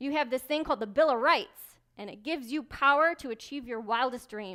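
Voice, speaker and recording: In an American accent, a woman speaks at a fairly quick pace with a high pitch, a bright, sharp tone and ordinary pitch variation, on a very clean recording with a silent background. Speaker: keynote speaker, military intelligence officer. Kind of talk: motivational keynote speech. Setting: live event, banquet room. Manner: dynamic, humorous, direct.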